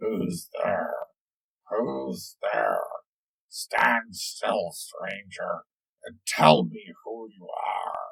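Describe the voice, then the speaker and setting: Using a put-on character voice, a man growls in a raspy tone at a very slow pace with long, frequent pauses. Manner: menacing, demanding.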